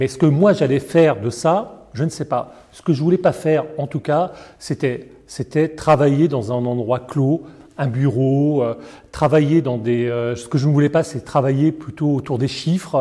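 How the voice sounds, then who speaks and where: Dark and mellow in tone, a man speaks at a fairly slow pace with a fairly high pitch and ordinary pitch variation. His voice is somewhat breathy, with big swings in loudness. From Paris, France. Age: 60s. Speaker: foundation director. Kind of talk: interview. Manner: hesitant, many fillers.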